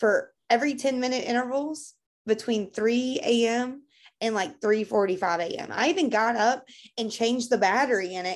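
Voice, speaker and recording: With a Kentucky accent, a woman talks at a moderate pace in a fairly high voice with ordinary pitch variation over a quiet background. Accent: Kentucky Southern US. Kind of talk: casual chat.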